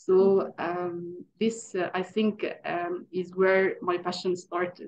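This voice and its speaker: A woman speaks with an Arabic accent at a medium pitch and a very slow pace. Her intonation stays monotone and flat. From Egypt. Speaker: English teacher. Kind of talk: interview. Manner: hesitant, many fillers.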